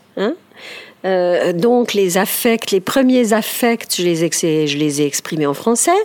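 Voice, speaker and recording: Over noticeable background noise, a woman speaks very slowly at a medium pitch with lively intonation. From Ticino, Switzerland. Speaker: speech therapist and author. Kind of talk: interview. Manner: halting, many hesitations.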